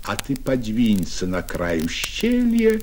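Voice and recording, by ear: Text is read aloud in a natural voice.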